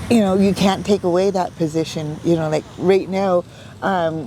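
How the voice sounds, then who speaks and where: Over noticeable background noise, a woman speaks in a fairly low voice with fairly even intonation. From Canada, British Columbia coast (Coast Salish). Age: 60s. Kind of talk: interview. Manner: halting, many fillers.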